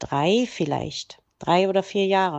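A normal speaking voice from a woman at a medium pitch, with ordinary pitch variation. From East Germany, Saxony-Anhalt (Quedlinburg). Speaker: interviewee, mother of the host. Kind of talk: personal life story interview.

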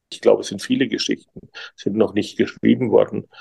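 A man's voice comes through dry and close, without any echo. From Germany. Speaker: journalist. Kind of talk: interview. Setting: video call. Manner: hesitant, many fillers.

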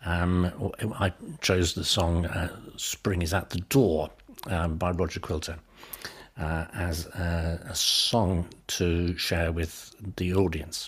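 A man talks at a very slow pace in a very deep, low, somewhat breathy voice. His intonation stays fairly even, with long, frequent pauses. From northern England. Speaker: pediatric hepatologist. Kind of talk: interview. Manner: halting, many fillers.

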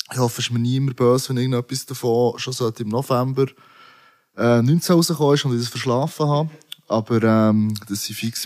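The speaker has an ordinary speaking voice. Fairly even intonation goes with a moderate pace. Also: man. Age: 30s. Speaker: rapper. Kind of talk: casual chat.

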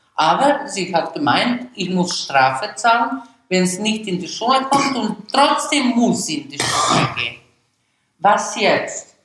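A woman's fairly high voice with a non-native accent, very wide pitch swings, and a very slow pace. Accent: German with foreign. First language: Serbo-Croatian (speaking German). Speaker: immigrant mother and teacher. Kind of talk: interview storytelling. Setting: at home.

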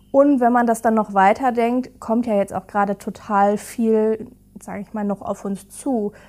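Her pitch is fairly high and her intonation fairly even. The woman keeps a moderate pace. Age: 20s. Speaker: digitalization officer at care company. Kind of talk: casual interview. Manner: hesitant, many fillers.

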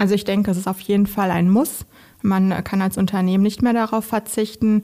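On a very clean recording with a silent background, a dark, mellow tone carries fairly even intonation. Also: woman. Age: 30s. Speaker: recruiter. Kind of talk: interview. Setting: studio.

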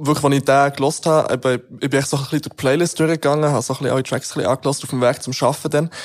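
Speaking very fast, a man keeps a fairly high pitch in monotone, flat intonation. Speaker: radio host. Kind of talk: casual chat.

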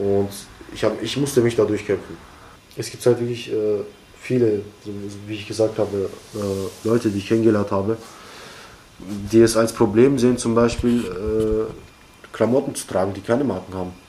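A man's fairly low, fairly even voice at a moderate pace, with long, frequent pauses, big swings in loudness and noticeable background noise. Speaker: young person at a youth centre. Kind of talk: interview. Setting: youth centre. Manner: halting.

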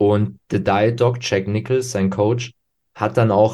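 A man's fairly low voice at a very slow pace, with ordinary pitch variation, against a quiet background. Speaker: bodybuilding podcast host. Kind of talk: casual chat.

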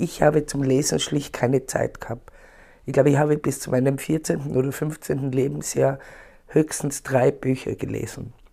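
A woman with a very deep, low pitch and a dark, mellow tone speaks fairly slowly with fairly even intonation. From Austria, Tyrol. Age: 60s. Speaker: poet. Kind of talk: interview.

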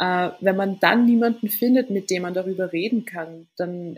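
This woman's voice is medium in pitch and somewhat breathy. She moves at a moderate pace with ordinary pitch variation. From Austria, Vienna. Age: 20s. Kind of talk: casual interview. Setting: remote call.

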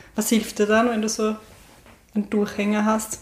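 The speaker is a woman with a medium pitch. She keeps to a moderate pace. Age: 30s. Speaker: podcast host. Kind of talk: interview. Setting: at the guest's home.

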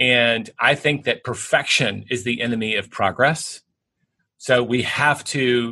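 Over a quiet background, a man with a Southern US accent speaks at a medium pitch in a bright, sharp tone with ordinary pitch variation. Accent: Southern American. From US South, Tennessee. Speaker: bestselling author and business executive. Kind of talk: interview.

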